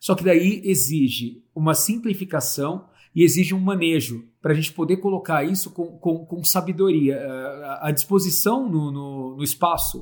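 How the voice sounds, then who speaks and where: Ordinary pitch variation marks a man's high voice as he talks at a moderate pace. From Brazil, Santo André (São Paulo). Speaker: agroforestry entrepreneur. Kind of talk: casual chat.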